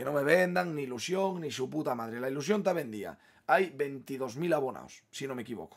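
Ordinary pitch variation and a moderate pace from a man, against a quiet background. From Asturias, Spain. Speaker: football fan youtuber. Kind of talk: match opinion monologue. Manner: animated. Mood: frustrated, opinionated. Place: home room.

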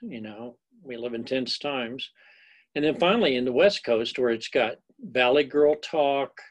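A man with a medium pitch and a fairly bright tone talks at a fairly slow pace, his pitch varying in an ordinary way.

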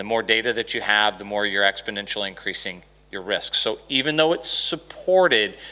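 Bright and sharp in tone, a man with an American accent speaks at a fairly quick pace with ordinary pitch variation. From Dallas, Texas. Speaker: conference speaker, SharePoint expert. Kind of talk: technical conference lecture with demo. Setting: conference room with audience. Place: stage. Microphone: handheld.

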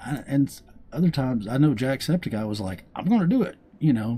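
A man speaks in a Southern US accent. His tone is dark and mellow, and somewhat breathy. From US South, Arkansas. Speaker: gaming YouTuber. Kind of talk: casual gameplay commentary.

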